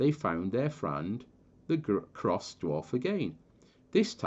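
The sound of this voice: The speaker uses an unforced reading voice. It carries throughout the clip.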